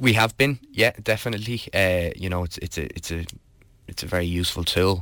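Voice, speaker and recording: On a very clean recording with a silent background, a man with a Dublin accent speaks at a very deep, low pitch in a bright, sharp tone with ordinary pitch variation. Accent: Dublin Irish. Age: 20s. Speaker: political candidate. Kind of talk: interview. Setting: studio. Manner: halting.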